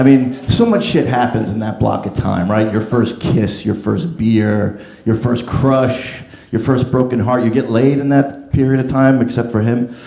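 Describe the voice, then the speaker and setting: With an American accent, a man speaks at medium pitch and a moderate pace with ordinary pitch variation, while audible room echo and noticeable background noise fill the recording. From New Jersey. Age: 50s. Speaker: comedian. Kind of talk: stand-up. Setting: stage with audience.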